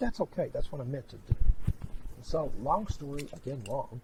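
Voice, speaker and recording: A man talks at a fairly quick pace, somewhat breathy. His pitch swings very widely. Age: 60s. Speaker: clairvoyant medium. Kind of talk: psychic reading and interview chat.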